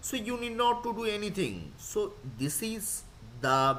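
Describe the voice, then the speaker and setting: Very wide pitch swings mark this very slow delivery, with audible room echo. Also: man. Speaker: lecturer. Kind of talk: lecture.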